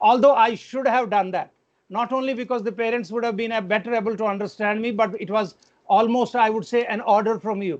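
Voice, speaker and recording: Speaking at a fairly quick pace over a quiet background, a man with an Indian accent has a high pitch. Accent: Indian English, Hindi-like pronunciation. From India, Kashmir. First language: Kashmiri. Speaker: education administrator. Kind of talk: parent meeting address.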